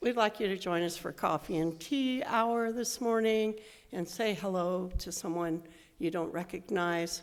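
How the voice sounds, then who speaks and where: Her pitch medium and its variation ordinary, a woman speaks at a fairly slow pace. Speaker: lay worship leader. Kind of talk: church service announcements. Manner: loud.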